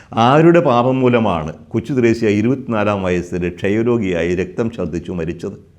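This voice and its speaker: Lively intonation marks this fairly low-pitched man's delivery in a normal speaking voice. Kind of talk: religious teaching talk. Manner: measured, pausing.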